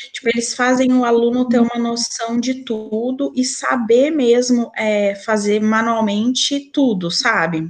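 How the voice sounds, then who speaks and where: At a fairly slow pace, a woman talks in a plain, everyday voice, fairly high in pitch with ordinary pitch variation. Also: hardly any pauses. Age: 30s. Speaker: podcast guest, mother. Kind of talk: casual chat.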